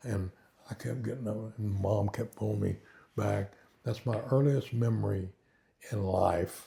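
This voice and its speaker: Somewhat breathy and dark, mellow in tone, a man speaks with a Southern Plains accent at a fairly low pitch with ordinary pitch variation. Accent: Southern Plains American. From Oklahoma and Kansas, US. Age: 80s+. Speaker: retired pastor. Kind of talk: interview, life testimony. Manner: hesitant, many fillers.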